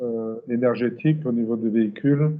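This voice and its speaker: An unremarkable speaking voice from a man, medium in pitch and fairly slow in pace. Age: 60s. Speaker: company president, automotive supplier. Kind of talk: interview. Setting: video call.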